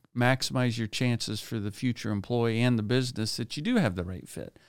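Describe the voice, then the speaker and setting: A man with a plain, everyday voice, fairly even intonation and a moderate pace, on a very clean recording with a silent background. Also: dry, close sound with no echo. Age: 50s. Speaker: business advisory franchise owner, keynote speaker. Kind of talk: interview.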